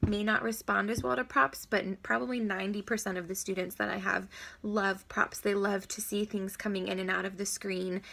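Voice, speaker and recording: A woman speaks at a medium pitch with a bright, sharp tone, recorded very cleanly against a silent background. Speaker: online English teacher giving tips. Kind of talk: tutorial.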